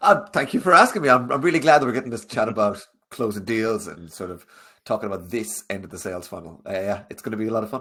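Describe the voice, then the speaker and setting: In a strong Irish accent, the speaker races along at a very fast pace with a bright, sharp tone, lively intonation and big swings in loudness. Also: man, medium pitch for a man. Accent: thick Irish. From Ireland. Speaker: sales coach. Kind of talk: webinar interview. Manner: fast when passionate.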